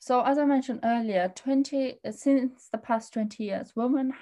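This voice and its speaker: The voice is a woman's and somewhat breathy. She talks at a moderate pace. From Afghanistan and Pakistan, raised in England from age eight. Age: 20s. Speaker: activist. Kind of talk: interview conversation.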